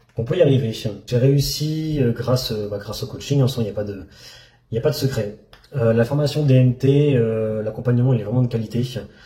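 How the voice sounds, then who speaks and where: Somewhat breathy, a man speaks at a medium pitch with a dark, mellow tone. His pace is fairly quick, with ordinary pitch variation. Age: 30s. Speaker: trading student. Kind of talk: testimony. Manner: halting.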